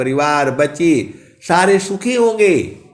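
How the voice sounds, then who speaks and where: A man's voice swings very widely in pitch. Audible room echo surrounds it. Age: 60s. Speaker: spiritual preacher. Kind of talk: sermon. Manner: animated.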